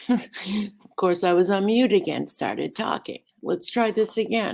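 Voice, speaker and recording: A plain, everyday voice from a woman, fairly slow in pace, with ordinary pitch variation. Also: medium pitch for a woman. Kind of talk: casual livestream talk.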